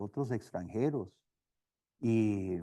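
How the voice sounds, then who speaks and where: A dark, mellow tone with lively intonation and a slight non-native accent. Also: man. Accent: slight foreign accent in Spanish. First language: not Spanish, learned as missionary (speaking Spanish). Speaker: seminary professor and missionary. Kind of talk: lecture. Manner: halting, with repetitions.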